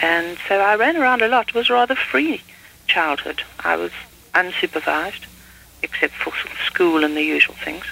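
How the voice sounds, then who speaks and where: A woman's medium-pitched voice at a moderate pace, with very wide pitch swings, long, frequent pauses and noticeable background noise. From South Africa, Durban. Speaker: novelist. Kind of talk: interview.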